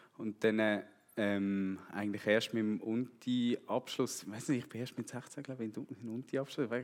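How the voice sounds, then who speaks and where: In a Swiss accent, a man with a medium pitch speaks at a fairly slow pace with fairly even intonation. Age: 30s. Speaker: church member, road construction foreman. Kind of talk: testimony.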